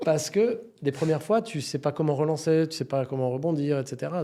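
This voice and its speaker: Moving at a moderate pace, a man talks in a dark, mellow tone with ordinary pitch variation. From France, Paris suburbs. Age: 50s. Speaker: entrepreneur. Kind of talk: podcast interview.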